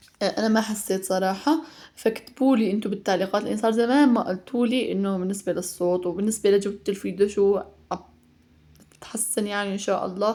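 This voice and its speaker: At a fairly quick pace, a woman speaks in a dark, mellow tone at medium pitch with fairly even intonation. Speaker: mother and home cooking vlogger. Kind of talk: casual vlog voiceover; heartfelt message to mothers. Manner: fast; chatty with fillers.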